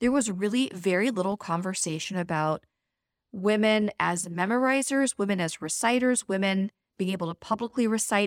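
A woman with a plain, everyday voice talks at a moderate pace and medium pitch, with ordinary pitch variation, very even loudness, and a dry, close sound with no echo. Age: 40s. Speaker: Islamic teacher. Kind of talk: interview.

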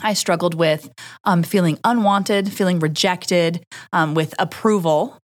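A woman's fairly low voice, a normal speaking voice with ordinary pitch variation, very even loudness and a moderate pace, in a very clean recording with a silent background. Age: 30s. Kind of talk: casual chat.

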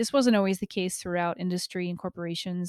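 Her voice is an unremarkable speaking voice, fairly low for a woman and fairly even in intonation, captured dry and close with no echo on a very clean recording with a silent background. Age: 30s. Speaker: podcast host and leadership coach. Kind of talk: solo podcast monologue.

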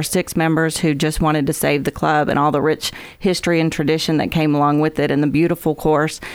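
The speaker talks at a fairly quick pace with an American accent and monotone, flat intonation. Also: woman. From US South. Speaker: golf course manager. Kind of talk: radio interview. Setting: studio.

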